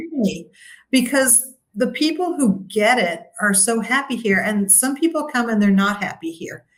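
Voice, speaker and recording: A woman's ordinary speaking voice with an American accent, a fairly high pitch, lively intonation and a moderate pace. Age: 60s. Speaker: retired expat. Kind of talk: interview.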